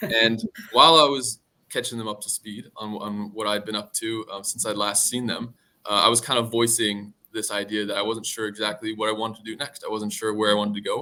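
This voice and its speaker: A man with an American accent talks loudly at a fairly quick pace, his fairly low voice bright and sharp in tone and flat, monotone in intonation. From US Northeast, Connecticut. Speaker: junior business analyst. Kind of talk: interview.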